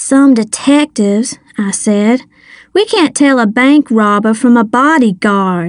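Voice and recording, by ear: The speaker reads aloud in a natural voice, with ordinary pitch variation.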